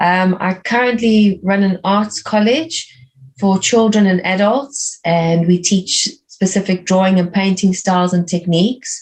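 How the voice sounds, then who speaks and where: With a South African accent, a woman speaks somewhat breathily at a fairly slow pace, her medium pitch varying in an ordinary way. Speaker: art teacher and art coach. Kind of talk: interview conversation.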